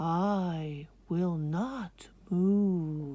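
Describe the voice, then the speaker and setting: The speaker performs a put-on character voice at a middle pitch, with hissing. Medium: read story.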